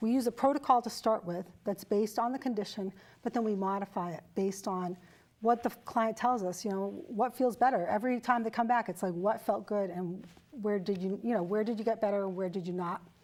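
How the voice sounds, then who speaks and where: Speaking at a fairly quick pace, a woman has an unremarkable speaking voice at medium pitch with ordinary pitch variation. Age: 60s. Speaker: fitness and wellness trainer. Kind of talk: interview.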